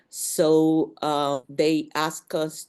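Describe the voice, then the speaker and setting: Against a quiet background, a woman with a Spanish accent speaks in a very deep, low pitch with monotone, flat intonation. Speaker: museum professional. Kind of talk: panel discussion. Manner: halting.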